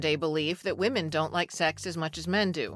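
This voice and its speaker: Music playing behind a woman's voice, her delivery at a medium speed. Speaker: public radio journalist and podcast host. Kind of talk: podcast intro.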